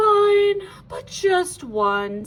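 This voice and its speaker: A woman speaks in a squeaky, put-on character voice. Her pitch is extremely high. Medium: read story. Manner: haughty.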